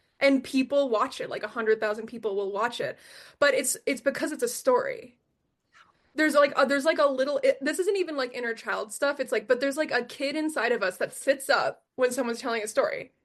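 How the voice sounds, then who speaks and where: A woman with an American accent, high-pitched and animated, at a very fast pace with ordinary pitch variation over a quiet background. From US Northeast, Philadelphia. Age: 30s. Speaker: spiritual course teacher. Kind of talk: podcast interview.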